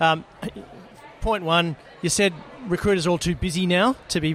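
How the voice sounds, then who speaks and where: Noticeable background noise sits behind a man who speaks at a fairly quick pace in a high pitch. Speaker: podcast host. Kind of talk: casual interview. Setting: live at conference event.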